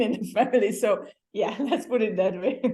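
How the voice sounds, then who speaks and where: Speaking in a Hungarian accent, a woman has a dark, mellow tone. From Hungary. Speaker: former exchange student. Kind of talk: interview. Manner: halting.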